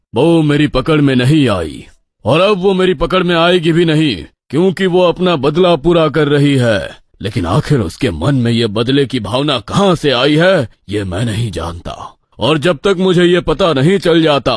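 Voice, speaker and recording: A man's put-on character voice, fairly high in pitch, at a moderate pace with very wide pitch swings. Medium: read story. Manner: authoritative.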